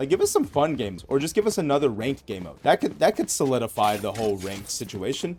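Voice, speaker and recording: Music plays behind a man of medium pitch who talks at a very fast pace with an American accent. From United States. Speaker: gaming streamer. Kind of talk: gameplay commentary. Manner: casual, many fillers.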